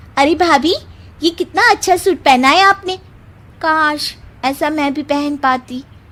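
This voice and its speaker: Using a put-on character voice, a woman speaks at a high pitch and a fairly slow pace, leaving long, frequent pauses. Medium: read story.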